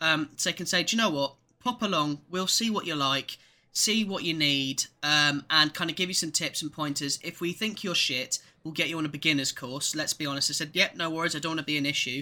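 A man with an English accent speaks fairly quickly at a fairly high pitch, with a bright, sharp tone and ordinary pitch variation, on a very clean recording with a silent background. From England. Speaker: podcast co-host. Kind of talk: casual chat.

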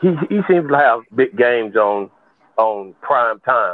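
A plain, everyday voice with lively intonation. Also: man. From Florida, US. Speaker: sports podcast panelist. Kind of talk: casual sports talk. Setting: phone call.

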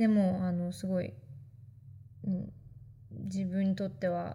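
A woman talks at medium pitch in an animated tone. Her voice is somewhat breathy. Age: 20s. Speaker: podcast host. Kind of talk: casual solo monologue. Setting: self-recorded while traveling. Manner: animated, frequent laughter.

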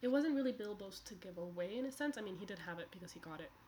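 Somewhat breathy and at a medium pitch, a woman speaks at a very fast pace with very wide pitch swings. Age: 20s. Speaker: book podcaster. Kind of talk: casual chat. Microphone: too quiet.

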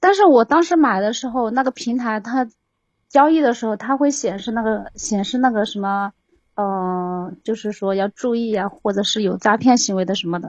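A woman speaks at a moderate pace with a fairly high pitch and ordinary pitch variation. The background is quiet. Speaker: caller, scam victim. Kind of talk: phone-in advice call. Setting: voice call into livestream. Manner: halting. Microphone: too far from the microphone.

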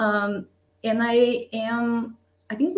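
A somewhat breathy woman speaks at a fairly high pitch with a Portuguese accent. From Brazil. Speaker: designer and strategist. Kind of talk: interview.

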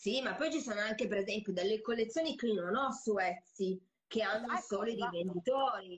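A woman's fairly high, somewhat breathy voice at a very fast pace, with very even loudness and ordinary pitch variation. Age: 40s. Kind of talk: casual chat. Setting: recorded Instagram live. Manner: energetic, fast.

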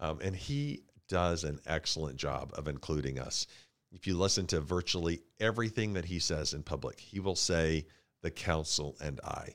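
Vocal fry marks this moderate-paced voice with an American accent and ordinary pitch variation, heard on a very clean recording with a silent background. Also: man, very deep, low pitch for a man. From Tulsa, Oklahoma. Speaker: city councilor and foundation CEO. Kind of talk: interview. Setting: studio.

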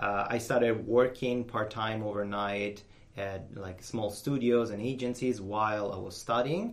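With an Italian accent, a man speaks with ordinary pitch variation. Audible room echo surrounds his voice. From Italy, Rome. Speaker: software designer. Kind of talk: interview. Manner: talkative.

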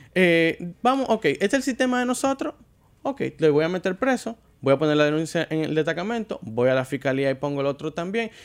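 This man speaks with a Dominican accent. His pitch is high for a man and swings very widely. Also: very clean recording, silent background. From Dominican Republic. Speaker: car show presenter. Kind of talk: casual chat.

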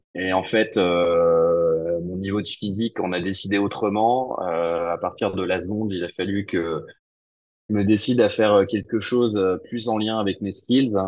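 Fairly even intonation and a fairly slow pace in an unremarkable speaking voice. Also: man, fairly low pitch for a man. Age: 40s. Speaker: entrepreneur. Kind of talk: interview.

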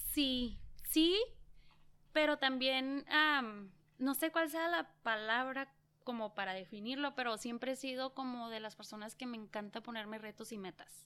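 Bright and sharp in tone, a woman's voice sits at a high pitch. She speaks at a fairly slow pace. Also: ordinary pitch variation, big swings in loudness. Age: 30s. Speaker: small business owner and mother. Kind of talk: interview.

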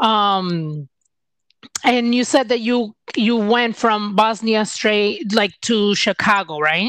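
A woman's fairly high, lively voice, an ordinary speaking voice, in a dry, close recording with no echo. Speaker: podcast host. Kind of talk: casual interview chat.

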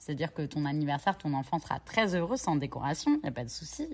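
With lively intonation and very deep, low pitch, a woman speaks on a very clean recording with a silent background. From Normandy, France (Cherbourg). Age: 30s. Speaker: entrepreneur. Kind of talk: interview.

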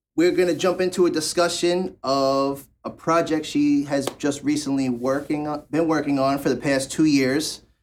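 With an ordinary speaking voice, a man talks at a moderate pace and fairly high pitch, keeping his intonation fairly even and hardly pausing. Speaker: podcast host. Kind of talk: casual interview chat.

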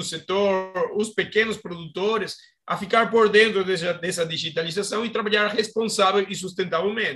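A raised, projected voice with a Spanish accent carries a bright, sharp tone. It keeps a moderate pace and fairly even intonation. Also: man. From Argentina. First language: Spanish (speaking Portuguese). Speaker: agronomist and startup co-founder. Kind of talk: interview. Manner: halting.

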